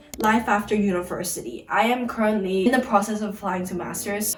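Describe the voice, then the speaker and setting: A woman at medium pitch and a fairly quick pace, with ordinary pitch variation, music in the background and audible room echo. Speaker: YouTuber, university student. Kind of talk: casual sit-down Q&A chat. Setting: sit-down video at home. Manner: fast; animated.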